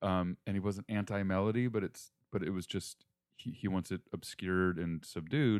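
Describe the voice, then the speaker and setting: A man with an American accent speaks in a normal speaking voice at a moderate pace. His pitch is fairly low, his intonation fairly even. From Northern Virginia, near D.C. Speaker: film composer. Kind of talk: casual interview. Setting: home kitchen studio.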